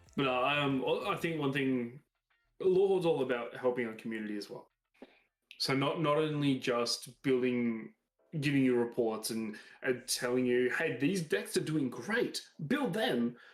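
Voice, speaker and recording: With an Australian accent, a man speaks at a medium pitch and moderate pace, his pitch varying in an ordinary way. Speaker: card game podcast co-host. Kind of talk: casual chat.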